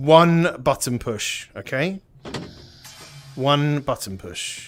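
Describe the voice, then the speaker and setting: This man has a British accent and a fairly high pitch. He speaks very slowly with lively intonation. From Britain. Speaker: VR gaming streamer. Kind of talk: live gameplay commentary. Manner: animated.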